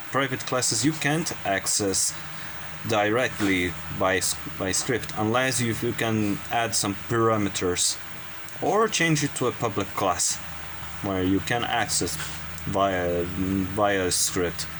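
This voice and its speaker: A man with a non-native accent speaks very slowly at a fairly low pitch, leaving long, frequent pauses. His pitch variation is ordinary, his loudness very even, and noticeable background noise is present. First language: not English. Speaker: game development hobbyist youtuber. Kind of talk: tutorial. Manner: halting.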